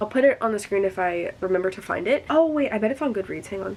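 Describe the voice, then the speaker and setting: A woman with an American accent talks at a very fast pace in a medium pitch, her tone animated and her intonation lively. Noticeable background noise sits behind her. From US Midwest, rural area about three hours from St. Louis. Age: 19. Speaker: book vlogger. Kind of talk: casual chat. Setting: at home, sitting on the floor.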